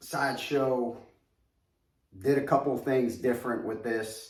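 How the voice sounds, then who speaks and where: This man speaks in a New York accent at a medium pitch, with ordinary pitch variation. Audible room echo is present. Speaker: collectibles reviewer. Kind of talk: product review video. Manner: animated.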